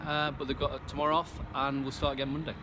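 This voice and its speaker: There is noticeable background noise as a man speaks at a fairly high pitch. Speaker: youth football coach. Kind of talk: post-match interview answer.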